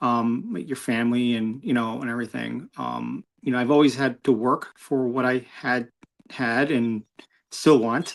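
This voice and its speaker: Using a New York accent, a man talks at a fairly slow pace and a medium pitch with fairly even intonation, on a very clean recording with a silent background. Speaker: motorcyclist. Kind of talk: interview. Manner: halting.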